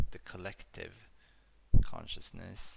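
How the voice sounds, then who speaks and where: A man speaks quietly, with audible room echo around him. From Sweden. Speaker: YouTuber discussing metaphysical theories. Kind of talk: casual monologue video. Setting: at home in a dark room. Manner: monotone; quiet, low volume. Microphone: bad audio at times.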